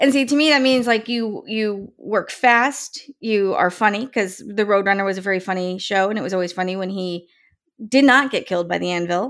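Speaking at a moderate speed, a woman has an ordinary speaking voice, a medium pitch and ordinary pitch variation. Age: 40s. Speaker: podcast host and author. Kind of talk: casual chat.

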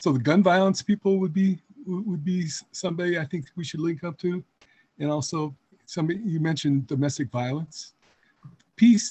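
At a moderate pace with long, frequent pauses, a man talks in a high pitch with ordinary pitch variation. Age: 70s. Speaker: peace advocacy volunteer. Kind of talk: group call discussion. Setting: video call.

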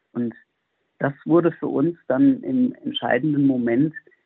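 A man speaks at a very slow pace. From Germany, near Frankfurt am Main (Hesse). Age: 40s. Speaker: monk and priest. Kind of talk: radio interview.

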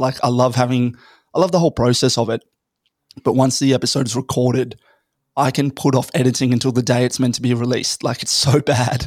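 With an Australian accent, a man talks at a very fast pace at medium pitch. His intonation is fairly even, and the recording is very clean with a silent background. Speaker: podcaster and startup founder. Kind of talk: casual chat.

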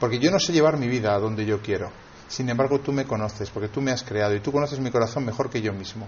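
A man in a Spanish accent at medium pitch, talking at a very fast pace with ordinary pitch variation, audible room echo around him. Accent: Peninsular Spanish. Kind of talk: sermon. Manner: halting.

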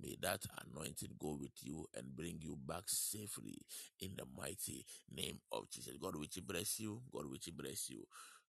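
With vocal fry and a very deep, low pitch, a man speaks at a moderate pace using lively intonation. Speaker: online prayer broadcast host. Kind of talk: worship, prayer and announcements. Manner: warm, fervent, repetitive.

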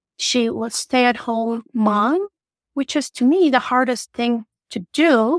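In a Turkish accent, a woman speaks at a high pitch and a very slow pace, recorded with a dry, close sound and no echo. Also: ordinary pitch variation. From Turkey. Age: 30s. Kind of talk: interview.

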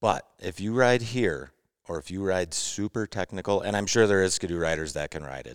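A fairly quick American accent with lively intonation, very clean recording, silent background, and a dry, close sound with no echo. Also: man, very deep, low pitch for a man. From Wisconsin, US Midwest. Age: 40s. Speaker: snowmobile riding client. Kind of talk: casual chat.

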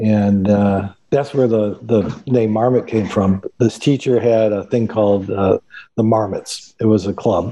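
At a fairly slow pace, a man with an American accent talks in a fairly low, dark, mellow voice with fairly even intonation and very even loudness. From Chicago. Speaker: outdoor industry sales executive. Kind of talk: casual interview.

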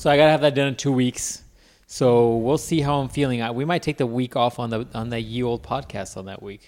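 A man with an unremarkable speaking voice talks at medium pitch with ordinary pitch variation. The recording is very clean, with a silent background. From Mexican-American background. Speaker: podcast co-host. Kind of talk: casual chat.

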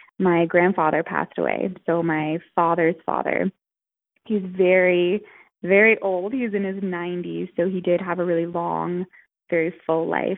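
A normal speaking voice from a woman, fairly low-pitched and fairly slow, with fairly even intonation. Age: 20s. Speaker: author and researcher. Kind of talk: casual interview.

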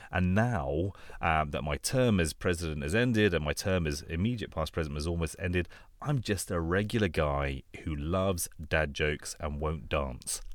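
Very deep, low male voice with a London accent, on a very clean recording with a silent background. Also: ordinary pitch variation, moderate pace. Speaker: anaesthesia doctor and podcast host. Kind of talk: casual chat.

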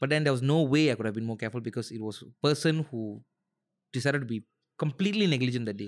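A man speaks at a very fast pace and medium pitch with lively intonation. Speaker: singer and stand-up comedian. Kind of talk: casual chat. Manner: animated.

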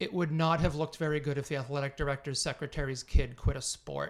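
On a very clean recording with a silent background, a man in an American accent speaks at a moderate pace in a fairly high pitch. He has an unremarkable speaking voice and fairly even intonation. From Massachusetts, North Andover. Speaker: teacher and track coach. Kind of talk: casual chat.

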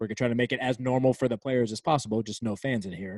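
This man talks at a very fast pace in an American accent, his pitch sitting in the medium range. The recording is very clean with a silent background and a dry, close sound free of echo. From Virginia, near Washington D.C. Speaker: sports arena DJ and music producer. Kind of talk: casual interview.

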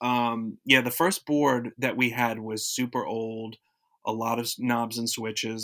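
A man with a plain, everyday voice and an American accent speaks at medium pitch and a moderate pace on a very clean recording with a silent background. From South Florida. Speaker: radio alum. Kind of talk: casual interview.

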